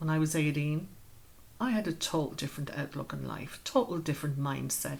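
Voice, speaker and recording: A woman talks with an Irish accent and a very deep, low pitch. Her voice is somewhat breathy. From Ireland, Wexford. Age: 50s. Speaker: community group founder. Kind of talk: interview.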